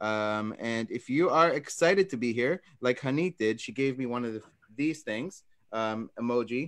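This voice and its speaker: The voice, in an American accent, shows ordinary pitch variation against a quiet background. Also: man. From United States, Israeli-born. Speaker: e-commerce seller and agency owner. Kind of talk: webinar presentation. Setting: live video stream. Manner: many filler words (um, uh).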